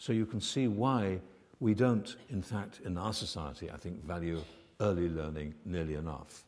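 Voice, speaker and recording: At a moderate pace, a man speaks in a very deep, low pitch with ordinary pitch variation. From United Kingdom. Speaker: medical research scientist. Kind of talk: conference keynote lecture. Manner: soft-spoken. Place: hall.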